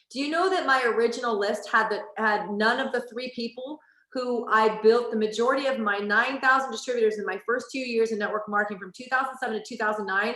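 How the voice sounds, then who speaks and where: Over noticeable background noise, a woman talks at a very fast pace with hardly any pauses, her fairly high voice animated in tone and swinging widely in loudness. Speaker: network marketing leader. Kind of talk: motivational talk.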